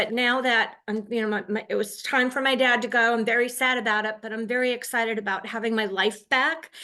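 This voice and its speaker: At a fairly quick pace, a woman speaks in a fairly high, monotone, flat voice. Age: 60s. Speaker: real estate agent. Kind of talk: personal account on a coaching call.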